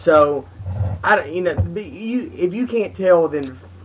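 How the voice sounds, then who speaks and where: A man is speaking. Music plays in the background. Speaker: comedian, podcast co-host. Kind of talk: casual podcast talk.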